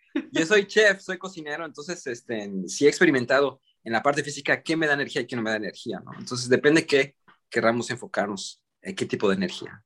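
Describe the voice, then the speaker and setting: A man with a fairly high pitch races at a very fast pace through very wide pitch swings. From Mexican-American, raised in US and Mexico. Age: 40s. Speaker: vegan chef. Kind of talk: casual interview. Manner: halting, repeats words.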